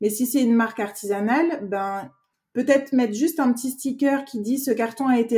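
The woman's tone is dark and mellow. She talks at a fairly quick pace. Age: 30s. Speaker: graphic and packaging designer. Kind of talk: interview.

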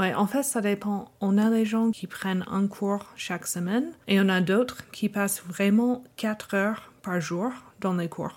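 A woman with an American accent speaks at a very slow pace, with medium pitch and ordinary pitch variation. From United States. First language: English (speaking French). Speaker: language learning researcher. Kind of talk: interview. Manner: halting with fillers.

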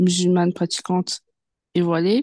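A woman's fairly low voice with a dark, mellow tone, dry and close with no echo, over a quiet background. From France, Paris suburbs (Seine-Saint-Denis). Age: 20s. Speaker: journalism student and book influencer. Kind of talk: interview. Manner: hesitant, many fillers.

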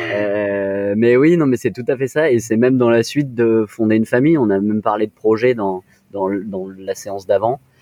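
A man at medium pitch with ordinary pitch variation and a moderate pace, music playing behind him. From France, Nice. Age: 20s. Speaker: co-founder of a premarital preparation service. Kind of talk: interview.

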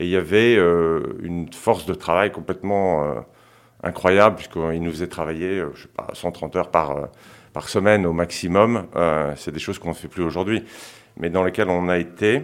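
A man with a very deep, low voice speaks at a moderate pace. His loudness swings widely, while his pitch varies in an ordinary way. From France, childhood in Senegal. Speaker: investment fund co-founder. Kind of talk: interview. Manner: hesitant.

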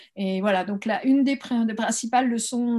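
A woman's somewhat breathy, fairly high voice with ordinary pitch variation. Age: 50s. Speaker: holistic coach. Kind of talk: interview. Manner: halting.

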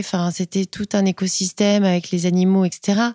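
Her voice is medium in pitch with a dark, mellow tone. The recording of this woman is very clean, with a silent background and a dry, close sound with no echo. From Paris northern suburbs (Seine-Saint-Denis), Portuguese family. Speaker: entrepreneur, rug brand founder. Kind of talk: interview. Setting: pop-up store.

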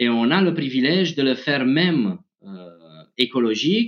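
Lively intonation marks this man's speech. He keeps a fairly slow pace. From Romania. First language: Romanian (speaking French). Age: 30s. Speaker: tech executive. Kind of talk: interview. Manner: halting.

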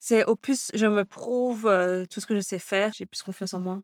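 Recorded very cleanly against a silent background, the sound is dry and close with no echo. A woman speaks at a medium pitch and a moderate pace. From Belgium, Brussels area. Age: 20s. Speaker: fashion designer and stylist. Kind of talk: interview.

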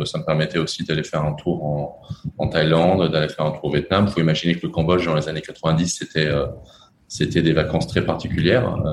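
Very deep, low male voice at a moderate pace, with noticeable background noise. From France. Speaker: entrepreneur. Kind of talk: interview.

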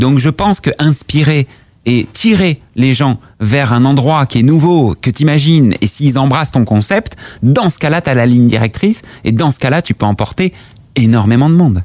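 Speaking at a moderate pace with lively intonation, a man with an unremarkable speaking voice and medium pitch keeps a very even loudness in a dry, close sound with no echo. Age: 30s. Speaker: startup founder. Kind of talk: casual interview. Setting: company office.

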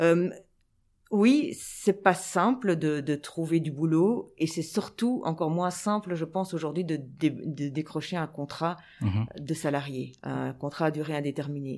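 A woman's very deep, low pitch with lively intonation at a fairly slow pace, on a very clean recording with a silent background. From Belgium, Brussels (Anderlecht). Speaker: sports journalist and TV presenter. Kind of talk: interview.

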